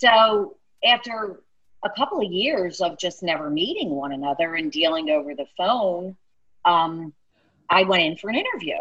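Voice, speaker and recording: With a South Philly accent, a woman speaks at a moderate pace and medium pitch with lively intonation. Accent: South Philly accent, mild. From South Philly, US. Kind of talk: casual chat, podcast interview.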